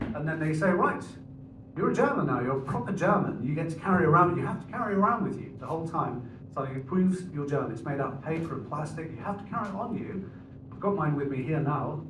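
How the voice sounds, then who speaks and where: A man talks at a very fast pace, his fairly high voice full of lively intonation, with audible room echo and noticeable background noise. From England. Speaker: comedian. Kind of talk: stand-up. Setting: stage with audience.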